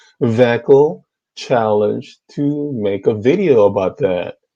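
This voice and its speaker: This man has a Korean accent and a medium pitch, with a dark, mellow tone. He talks at a very slow pace. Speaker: YouTube debater on theology. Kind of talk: heated debate. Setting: online group video call. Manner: animated.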